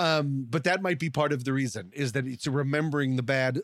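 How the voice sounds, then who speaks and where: A man speaks with a medium-pitched voice. The sound is dry and close, with no echo. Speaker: podcast host. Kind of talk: casual chat. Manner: fast talker, quick joker.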